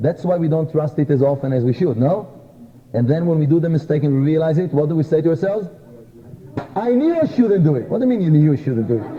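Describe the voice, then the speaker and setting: Racing at a very fast pace, a man with a non-native accent speaks at a fairly high pitch with lively intonation. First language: not English. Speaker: kabbalah teacher. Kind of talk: lecture.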